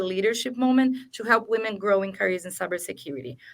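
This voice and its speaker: Recorded very cleanly against a silent background, a woman speaks at a fairly high pitch with a non-native accent. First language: not English. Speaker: cybersecurity awareness program lead. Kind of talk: panel discussion.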